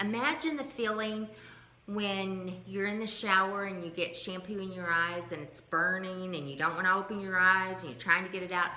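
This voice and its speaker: A woman speaks with ordinary pitch variation, her voice carrying audible room echo over noticeable background noise. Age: 60s. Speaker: lifestyle vlogger sharing health journey. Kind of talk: casual vlog monologue.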